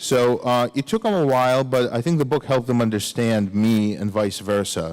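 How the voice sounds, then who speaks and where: With a slight Russian accent, a man speaks at a moderate pace and medium pitch, with ordinary pitch variation, very even loudness, and a very clean recording with a silent background. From Soviet Union (Ukraine). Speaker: author. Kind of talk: audience Q&A at a lecture. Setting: recital hall with audience. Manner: casual, many fillers.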